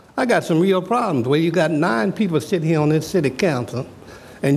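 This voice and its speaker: A man with an American accent talks at a fairly quick pace with lively intonation and a somewhat breathy, fairly high voice. Audible room echo is present. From Richmond, Virginia (US South). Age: 70s. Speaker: public commenter at city council. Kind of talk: public comment speech. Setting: council chambers. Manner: animated.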